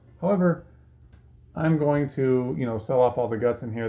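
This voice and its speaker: A man speaks with music playing in the background. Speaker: tech YouTuber. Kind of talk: casual tutorial commentary. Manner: halting, many fillers.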